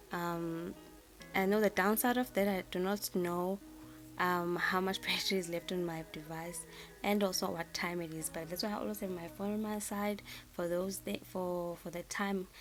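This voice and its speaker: With music playing in the background, a woman speaks in a South African accent. Her pitch is fairly low and her pace moderate. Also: fairly even intonation. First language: isiZulu. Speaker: planner designer, YouTuber. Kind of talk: tutorial. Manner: halting, many fillers and repeats.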